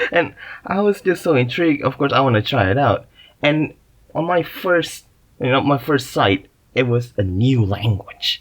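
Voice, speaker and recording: Speaking at a moderate pace, a man with an Indonesian accent has a fairly high pitch. His intonation is lively. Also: very even loudness. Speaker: podcast host. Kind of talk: casual monologue. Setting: makeshift booth in a closet. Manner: halting, many fillers.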